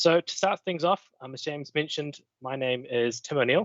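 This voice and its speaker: A man with a New Zealand accent and ordinary pitch variation. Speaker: cybersecurity consultant. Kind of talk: technical presentation. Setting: online meetup livestream.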